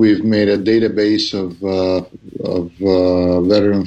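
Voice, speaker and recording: Against noticeable background noise, a man talks in a fairly low pitch with monotone, flat intonation. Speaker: footballers' union representative. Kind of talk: interview.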